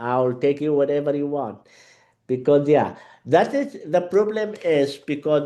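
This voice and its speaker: A man with an Arabic accent talks at a moderate pace. His pitch is fairly high, and the background is quiet. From Yemen. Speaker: Arabic teacher. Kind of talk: interview conversation. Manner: halting, many fillers.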